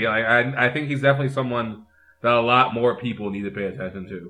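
A man with an ordinary speaking voice talks at a fairly quick pace in a medium pitch with ordinary pitch variation. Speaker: wrestling fan guest. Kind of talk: casual chat. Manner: excitable.

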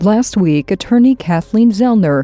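A woman with a fairly high pitch speaks at a moderate pace with lively intonation. She has a plain, everyday voice. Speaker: true crime podcast narrator. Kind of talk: scripted true-crime narration, read in a steady, serious, newsreader-like tone. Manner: measured, even-paced and matter-of-fact.

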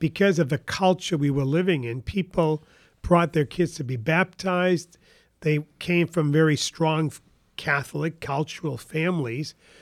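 A New England accent with ordinary pitch variation, on a very clean recording with a silent background and a dry, close sound free of echo. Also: man, fairly high pitch for a man, fairly slow pace. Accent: New England American. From northern New Hampshire. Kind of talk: interview. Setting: studio at a kitchen table.

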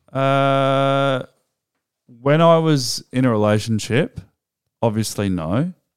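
With an Australian accent, the speaker talks at a very slow pace with long, frequent pauses, on a very clean recording over a silent background. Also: man, medium pitch for a man, ordinary pitch variation. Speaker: podcast co-host. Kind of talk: casual chat.

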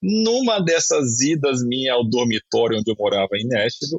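This man has an unremarkable speaking voice, a medium pitch and lively intonation. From Espírito Santo, Brazil. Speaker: former basketball player and sports agent. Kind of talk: casual interview.

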